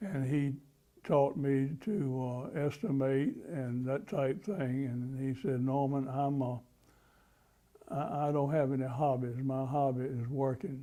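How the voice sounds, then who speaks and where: A man's dark, mellow voice at medium pitch with an eastern North Carolina accent, fairly slow pace and ordinary pitch variation. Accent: Southern US (eastern North Carolina). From North Carolina, Rocky Mount. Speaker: war veteran. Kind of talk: oral history interview. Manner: halting, many fillers and restarts.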